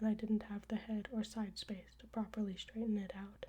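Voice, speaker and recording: A soft-spoken woman talks at a moderate pace. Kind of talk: ASMR audiobook reading of her own story.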